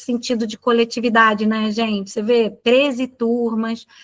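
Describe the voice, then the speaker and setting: Using a normal speaking voice, a woman talks at a fairly slow pace. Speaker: teacher trainer. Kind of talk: training session.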